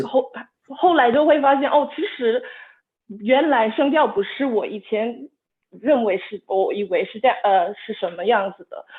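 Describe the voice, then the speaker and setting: At a fairly slow pace, a woman speaks in a high pitch with lively intonation and big swings in loudness. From United Kingdom. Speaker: Chinese language learner. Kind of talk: interview answer in learned Mandarin. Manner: hesitant, with fillers.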